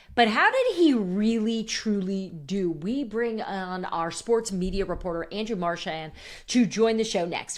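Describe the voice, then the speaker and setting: At a moderate pace, a woman with a slight Northeastern US accent talks in a medium pitch with ordinary pitch variation. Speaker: sports podcast host. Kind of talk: casual podcast chat.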